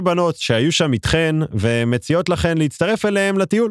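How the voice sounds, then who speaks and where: A man speaks at a fairly slow pace in an animated tone, his pitch swinging very widely, on a very clean recording with a silent background and a dry, close sound with no echo. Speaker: travel podcast host. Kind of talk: solo podcast monologue.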